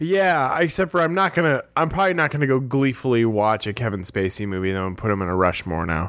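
On a very clean recording with a silent background, a man speaks very fast at a medium pitch, his voice swinging very widely in pitch. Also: hardly any pauses. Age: 30s. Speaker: podcast co-host. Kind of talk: casual chat.

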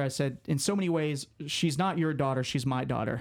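This is a man with an ordinary speaking voice, fairly high in pitch, talking at a moderate pace. The recording is very clean with a silent background. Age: 20s. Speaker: sports writer. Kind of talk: personal testimony.

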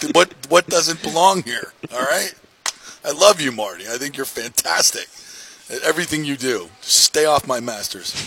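Lively intonation and big swings in loudness at a moderate pace, in a dry, close sound with no echo over noticeable background noise. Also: man, fairly high pitch for a man. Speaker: sports radio host. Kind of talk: sports talk radio. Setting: studio. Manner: animated.

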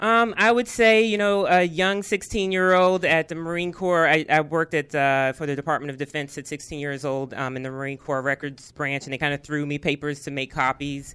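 In a very clean recording with a silent background, a woman with an American accent speaks with a very deep, low pitch, ordinary pitch variation and hardly any pauses. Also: moderate pace. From Arlington, Virginia. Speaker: tech company CEO. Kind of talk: interview. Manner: hesitant, many fillers.

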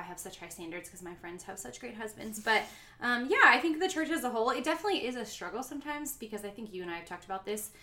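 Talking at a very fast pace with hardly any pauses, the speaker has an American accent and very wide pitch swings over noticeable background noise. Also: woman, big swings in loudness. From Florida, US. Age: 30s. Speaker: podcast guest. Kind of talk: casual chat.

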